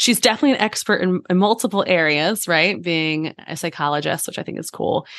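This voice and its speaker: Fairly low-pitched woman, a plain, everyday voice, lively intonation, fairly quick pace and hardly any pauses. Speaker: podcast co-host. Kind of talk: casual chat.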